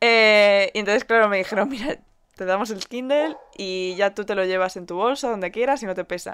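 With a Spanish accent, a woman talks fairly quickly in a medium pitch with ordinary pitch variation and an animated tone, on a very clean recording with a silent background. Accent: Peninsular Spanish. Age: 20s. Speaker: podcast co-host. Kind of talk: casual chat.

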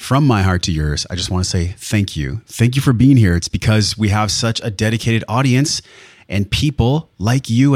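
A man with a normal speaking voice talks at a moderate pace, fairly low in pitch with ordinary pitch variation. The sound is dry and close with no echo, and the recording is very clean with a silent background. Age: 40s. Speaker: wellness podcast host and breathwork coach. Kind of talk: casual interview conversation; scripted intro and ad read. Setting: studio.

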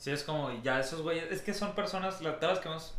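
A man talks fairly quickly in a space with audible room echo and noticeable background noise. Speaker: podcast co-host. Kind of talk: casual chat.

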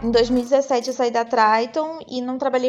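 A woman talks at a fairly slow pace in a normal speaking voice. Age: 30s. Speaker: fashion stylist and image consultant. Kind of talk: casual chat.

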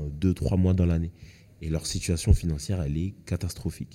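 This man's very deep, low voice has a dark, mellow tone and ordinary pitch variation. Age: 20s. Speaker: school education counsellor. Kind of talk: casual chat.

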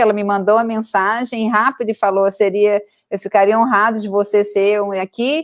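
In a very clean recording with a silent background and a dry, close sound with no echo, a woman speaks at a moderate pace and medium pitch in an ordinary speaking voice. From Brazil, Goiânia. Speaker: university lecturer and education entrepreneur. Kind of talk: interview conversation.

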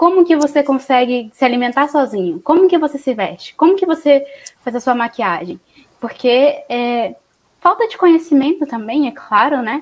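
This woman's high-pitched voice moves at a moderate pace with lively intonation. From Espírito Santo, Brazil. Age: 20s. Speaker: psychologist and podcast host. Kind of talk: casual chat.

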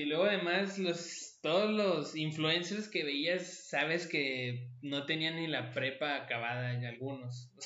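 A man's fairly high voice with lively intonation and audible room echo. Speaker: podcast host. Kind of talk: casual chat.

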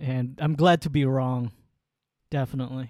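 A man of medium pitch speaks at a fairly slow pace with fairly even intonation. The sound is dry and close, with no echo. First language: Waray. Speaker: podcast co-host. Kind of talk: casual chat. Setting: remote call from San Diego.

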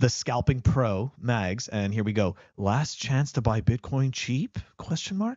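At a fairly slow pace, a man with a Canadian accent and medium pitch speaks with ordinary pitch variation in an unremarkable speaking voice. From Canada. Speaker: podcast co-host. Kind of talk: casual chat.

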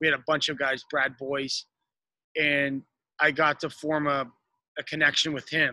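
A man with an Ontario accent, fairly high in pitch, bright and sharp in tone, flat and monotone in intonation, with a dry, close sound and no echo. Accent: Canadian (Ontario). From Canada, downtown Toronto. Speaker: retired professional ice hockey player. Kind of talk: interview. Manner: hesitant, many fillers.

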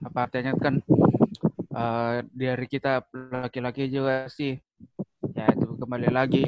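A man at medium pitch with a Makassar accent, fairly even intonation, and a dry, close sound with no echo. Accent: Makassar-accented Indonesian. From Makassar, South Sulawesi, Indonesia. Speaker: married man, guest.

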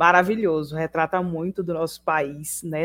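This is a normal speaking voice at a moderate pace, recorded very cleanly against a silent background with a dry, close sound and no echo. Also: woman. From Pojuca, Bahia, Brazil. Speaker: podcast co-host, student and writer. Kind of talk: casual chat.

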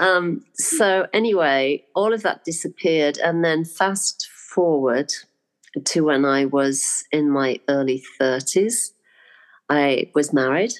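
A woman with an English accent, very deep and low in pitch, at a very slow pace with lively intonation, very even loudness and a quiet background. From UK. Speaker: spiritual teacher and art teacher. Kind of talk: interview storytelling.

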